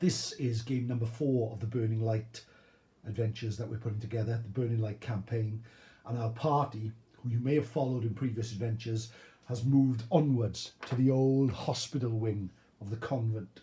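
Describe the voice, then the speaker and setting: Somewhat breathy and medium in pitch, a man talks at a moderate pace with fairly even intonation. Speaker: tabletop gaming YouTuber. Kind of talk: game playthrough commentary. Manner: hesitant with many fillers.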